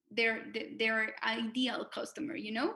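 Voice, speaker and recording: In a Spanish accent, a woman with a fairly high pitch and a bright, sharp tone speaks with fairly even intonation. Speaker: fintech association manager. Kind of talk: webinar presentation. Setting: video call. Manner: halting, many fillers and repetitions.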